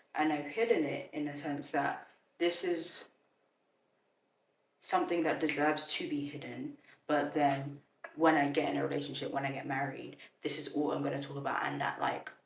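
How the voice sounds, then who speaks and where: With audible room echo, a woman speaks at a moderate pace, leaving long, frequent pauses. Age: 20s. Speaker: content creator. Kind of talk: casual vlog talk to camera. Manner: casual, filler-heavy, self-correcting.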